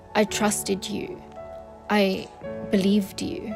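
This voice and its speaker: A woman speaks very slowly with music in the background. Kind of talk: spoken word poetry reading. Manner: emotional, reflective.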